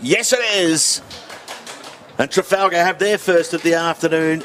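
Noticeable background noise sits behind a man who talks at a moderate pace in a high pitch with fairly even intonation. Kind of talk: live sports commentary.

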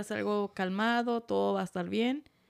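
At a fairly quick pace, a woman talks in an unremarkable speaking voice at medium pitch. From Tijuana, Mexico. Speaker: podcast guest, host's partner, off-road enthusiast. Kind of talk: casual chat. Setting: home studio setup, video recording.

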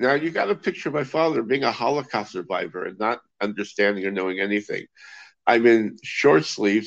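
Vocal fry runs through this voice, which swings very widely in pitch, in an American accent. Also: man. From US West Coast, Los Angeles. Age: 60s. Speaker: magician. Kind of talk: casual chat.

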